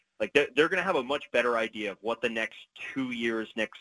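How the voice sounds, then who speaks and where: A man speaks very fast at a medium pitch, his tone bright and sharp, with ordinary pitch variation in a dry, close recording with no echo. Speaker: sports journalist. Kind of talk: casual sports chat.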